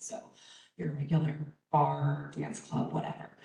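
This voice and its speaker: A woman's voice with vocal fry at a moderate pace, plus audible room echo. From Baltimore, US Mid-Atlantic. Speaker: conference presenter, college staff member. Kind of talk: conference presentation. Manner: casual, with many fillers.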